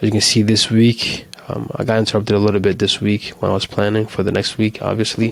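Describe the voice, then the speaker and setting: Against noticeable background noise, a man talks very fast with hardly any pauses, in a fairly low pitch and a monotone, flat intonation. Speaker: solo vlogger, small business owner. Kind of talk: casual weekly update vlog. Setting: home recording. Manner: hesitant, many fillers and restarts.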